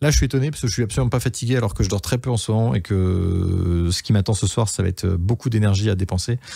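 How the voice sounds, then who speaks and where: At a fairly quick pace, a man speaks at a fairly low pitch in a dark, mellow, somewhat breathy tone with ordinary pitch variation. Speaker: photographer and YouTuber. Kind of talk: casual vlog update. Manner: fast; hesitant, many fillers.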